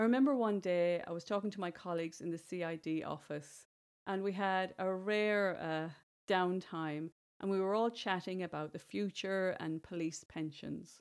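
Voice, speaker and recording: A woman speaks at a moderate pace in a medium pitch with ordinary pitch variation, on a very clean recording with a silent background. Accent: Irish. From Ireland, rural village. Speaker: podcast host and bestselling author. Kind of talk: solo podcast monologue, motivational talk.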